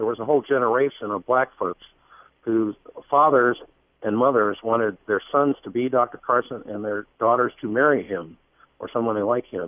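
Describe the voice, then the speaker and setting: A man talks at a moderate pace with ordinary pitch variation. His is a normal speaking voice. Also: medium pitch for a man. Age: 50s. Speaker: political campaign organizer. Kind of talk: radio interview.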